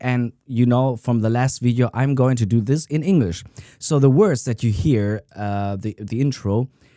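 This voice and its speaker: A man speaks with a non-native accent and ordinary pitch variation in a dark, mellow tone. The sound is dry and close with no echo, on a very clean recording with a silent background. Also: medium pitch for a man, moderate pace. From Italian-American. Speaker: guitarist. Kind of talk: casual talk to camera.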